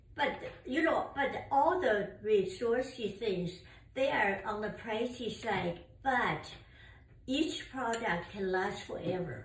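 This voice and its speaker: A woman speaks at a very slow pace, somewhat breathy and with lively intonation. Audible room echo surrounds her voice. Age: 80s+. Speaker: mother of the channel owner. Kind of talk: casual chat. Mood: warm, enthusiastic. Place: home room. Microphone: camera far.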